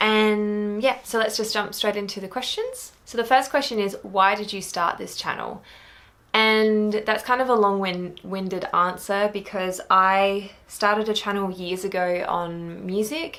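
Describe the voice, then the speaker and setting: A woman with an Australian accent, fairly slow pace and fairly even intonation. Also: medium pitch for a woman. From rural Australia. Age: 20s. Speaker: book vlogger. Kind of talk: casual vlog talk.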